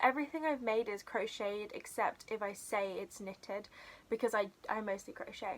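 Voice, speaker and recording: At a moderate pace, a woman with a British accent talks with ordinary pitch variation. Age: young, about 18. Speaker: crochet YouTuber. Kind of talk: casual vlog monologue. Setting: bedroom. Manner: chatty, many fillers.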